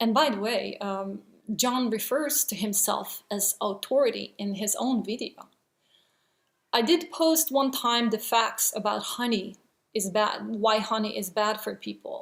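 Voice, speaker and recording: A woman with a non-native accent, fairly high pitch, vocal fry and a fairly slow pace. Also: ordinary pitch variation. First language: not English. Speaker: vegan video blogger. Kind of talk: response video monologue. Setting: at home, child sleeping nearby. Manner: hesitant, many fillers.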